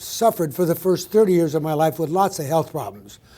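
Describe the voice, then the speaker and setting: A man speaks with an American accent in a dark, mellow tone. His pitch varies in an ordinary way. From US Midwest, Wisconsin. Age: 70s. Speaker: physician presenter. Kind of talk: conference lecture. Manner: fast.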